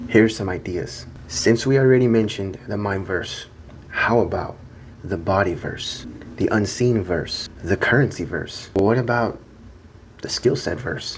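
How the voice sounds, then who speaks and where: A soft-spoken man with a fairly low pitch talks at a fairly slow pace with ordinary pitch variation, and audible room echo surrounds him. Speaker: self-improvement video creator. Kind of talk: monologue to camera. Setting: hotel room.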